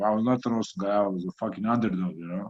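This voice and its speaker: With a Croatian accent, a man speaks using ordinary pitch variation. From Croatia, small coastal town. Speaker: heavyweight boxer. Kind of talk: interview.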